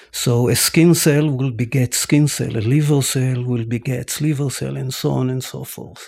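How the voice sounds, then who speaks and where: A man speaks with a dark, mellow tone, a somewhat breathy quality, and ordinary pitch variation. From Israel, Tel Aviv. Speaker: scientist. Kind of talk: interview.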